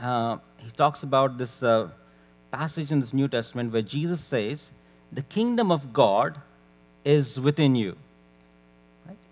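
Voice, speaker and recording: A soft-spoken man at medium pitch, fairly slow, with long, frequent pauses, big swings in loudness and ordinary pitch variation. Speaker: preacher. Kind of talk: sermon. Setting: church.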